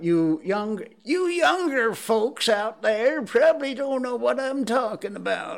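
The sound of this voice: A man uses a put-on character voice at an extremely high pitch, with very wide pitch swings. He talks at a fairly slow pace with hardly any pauses.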